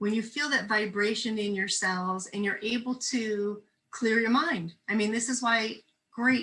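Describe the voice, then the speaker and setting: A woman's fairly slow, fairly even-toned voice with a New Jersey accent. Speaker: spiritual minister. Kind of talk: casual chat.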